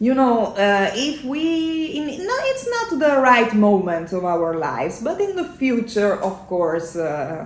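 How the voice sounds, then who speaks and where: In an Italian accent, a woman speaks at a fairly slow pace with very wide pitch swings, amid noticeable background noise and audible room echo. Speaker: singer in a metal band. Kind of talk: casual chat. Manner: halting, many fillers.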